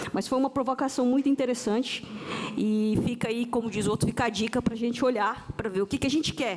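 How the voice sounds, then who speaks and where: A woman with a high pitch speaks in fairly even intonation and very even loudness, with noticeable background noise behind her. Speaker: panel moderator, tax official. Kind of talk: panel discussion moderation. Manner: halting, with false starts.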